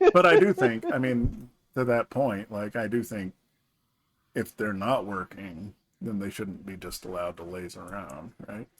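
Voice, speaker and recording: A man with an American accent speaks in a normal speaking voice, his pitch fairly low and his pitch variation ordinary. He talks at a fairly slow pace, with big swings in loudness. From Georgia, US. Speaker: podcast co-host, parent. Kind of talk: casual chat.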